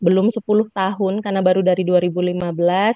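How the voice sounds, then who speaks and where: This woman's voice sits at a medium pitch. Her intonation stays flat and monotone. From Lampung, Sumatra, Indonesia. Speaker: university lecturer in social studies education. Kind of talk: webinar presentation. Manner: frequent fillers, hesitant.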